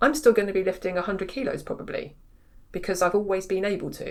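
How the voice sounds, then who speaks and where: A woman speaks with an English accent. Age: 40s. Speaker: pain therapist and strength coach. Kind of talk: podcast interview. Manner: animated.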